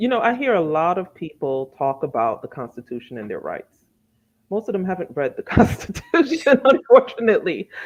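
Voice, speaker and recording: Fairly quick delivery with vocal fry, very wide pitch swings and big swings in loudness. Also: woman, medium pitch for a woman. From child of immigrants, raised in the US. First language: not English. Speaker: author and teacher. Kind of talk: interview. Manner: conversational, many filler words.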